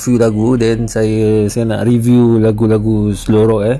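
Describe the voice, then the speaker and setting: A man speaks at a very slow pace. Audible echo fills the room. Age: 20s. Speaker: music reviewer. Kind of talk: casual music review. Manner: hesitant, many fillers.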